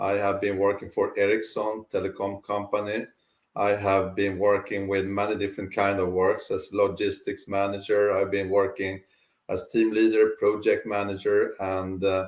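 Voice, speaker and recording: On a very clean recording with a silent background, a man speaks at a moderate pace in a monotone, flat intonation. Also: fairly low pitch for a man. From Sweden. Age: 60s. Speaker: life and career coach. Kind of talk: interview.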